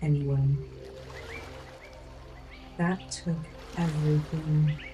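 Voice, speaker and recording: Soft-spoken and whispering, a woman talks at a very slow pace over music in the background. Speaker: life coach. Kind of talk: ASMR life coaching affirmations. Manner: soft-spoken, whispered.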